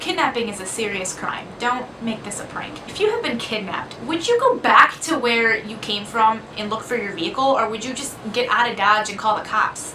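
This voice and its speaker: The speaker uses lively intonation at a moderate pace. Audible room echo and noticeable background noise are present. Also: woman. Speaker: vlogger. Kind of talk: casual storytelling. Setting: dorm room. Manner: soft-spoken.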